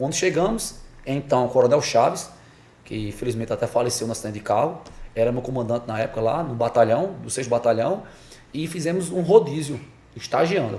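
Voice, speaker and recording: A man at medium pitch with lively intonation and a fairly quick pace. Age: 40s. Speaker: police officer. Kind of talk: interview. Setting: podcast studio in a barbershop. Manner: hesitant with repetitions.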